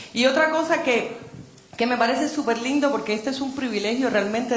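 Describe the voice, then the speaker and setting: A woman speaks at a fairly quick pace with a high pitch and ordinary pitch variation, over noticeable background noise and audible room echo. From Cuba. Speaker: novelist. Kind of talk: panel discussion. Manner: animated.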